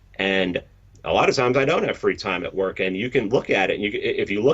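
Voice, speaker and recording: Talking at a fairly quick pace, a man speaks in a New York accent. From New York City, the Bronx. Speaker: podcast host and meme creator. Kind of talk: interview conversation. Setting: live-streamed interview. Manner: blunt, direct.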